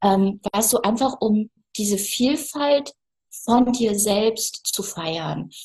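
A woman's somewhat breathy, fairly high voice at a very slow pace, with ordinary pitch variation. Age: 50s. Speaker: photographer. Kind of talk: casual interview. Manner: animated.

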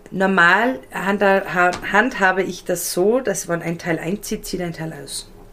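Over noticeable background noise, a woman speaks very slowly at a medium pitch with ordinary pitch variation. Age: 30s. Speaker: style and colour consultant. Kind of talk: casual interview.

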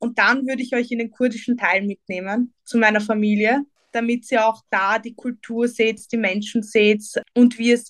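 A woman speaks at a fairly slow pace in a fairly high, flat monotone, with a dry, close sound and no echo. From Vienna, Austria. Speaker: political activist. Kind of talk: interview.

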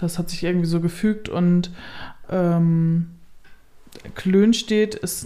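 A woman's fairly low voice, monotone and flat, dark and mellow in tone, with audible room echo. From northern Germany, Kellinghusen, Steinburg district. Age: 30s. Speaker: blogger and influencer on rural life. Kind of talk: casual interview. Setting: holiday flat at her home.

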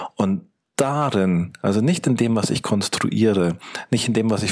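Fairly low-pitched male speech, moderate in pace, with ordinary pitch variation. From Munich, Germany. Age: 40s. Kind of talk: interview. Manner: halting, many fillers.

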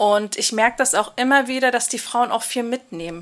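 Her intonation fairly even, a woman speaks at a moderate pace and a fairly high pitch. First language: Kurdish (Kurmanji) (speaking German). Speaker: migration counselor. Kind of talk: casual interview.

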